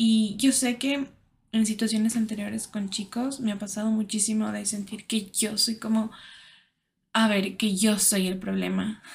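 A somewhat breathy woman's voice, fairly high in pitch, monotone and flat in intonation, at a fairly slow pace. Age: 20s. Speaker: podcaster. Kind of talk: personal monologue. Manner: halting.

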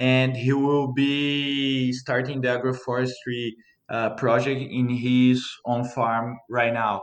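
In a Portuguese accent, the voice moves at a very slow pace with monotone, flat intonation. The loudness stays very even. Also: man, medium pitch for a man. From Brazil, Minas Gerais. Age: 20s. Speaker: coffee farmer. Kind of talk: interview.

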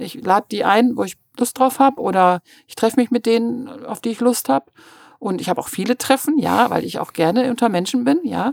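With a high pitch and ordinary pitch variation, a woman's voice shows big swings in loudness in a dry, close sound with no echo. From Münster, Westphalia, Germany. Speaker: journalist. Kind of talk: casual interview.

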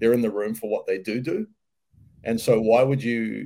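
The speech comes at a fairly quick pace in a New Zealand accent. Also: man. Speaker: mental skills coach. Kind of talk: casual interview.

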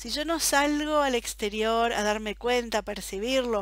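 A woman's fairly high voice, with ordinary pitch variation, is captured in a very clean recording against a silent background. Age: 40s. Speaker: podcast host, personal development. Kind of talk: solo podcast monologue. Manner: enthusiastic.

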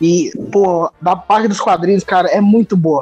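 Music plays behind a man with a high pitch and ordinary pitch variation. He talks at a moderate pace, and the sound is dry and close with no echo. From Brasília, Brazil. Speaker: podcast co-host. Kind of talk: casual chat.

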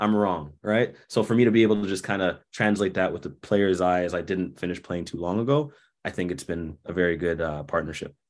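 The speaker has a Toronto accent, ordinary pitch variation and a fairly quick pace with hardly any pauses. The recording is very clean, with a silent background. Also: man, very deep, low pitch for a man. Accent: Canadian (Toronto). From Canada, Toronto. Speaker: basketball coach and former pro player. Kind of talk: casual interview.

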